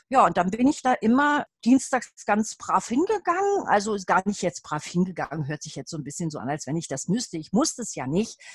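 At a fairly quick pace, a woman with a medium pitch and a somewhat breathy voice swings her pitch very widely, the sound dry and close with no echo. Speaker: Feldenkrais trainee and adult educator. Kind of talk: casual interview.

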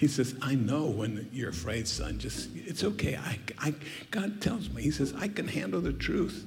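A man talks at a medium tempo with clearly audible noise behind him. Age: 80s+. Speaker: guest preacher. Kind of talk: sermon. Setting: church. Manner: animated.

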